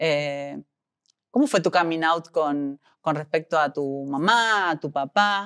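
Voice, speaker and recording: Very deep and low in pitch, a woman talks at a very slow pace with ordinary pitch variation, in a dry, close sound with no echo. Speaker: interviewer. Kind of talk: interview.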